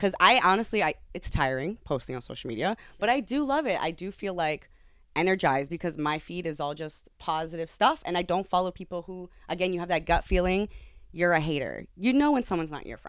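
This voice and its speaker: A woman speaks at a fairly quick pace in an animated tone, her fairly low voice carried by lively intonation. Her loudness swings widely, and the very clean recording has a silent background. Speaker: podcast host. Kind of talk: casual chat.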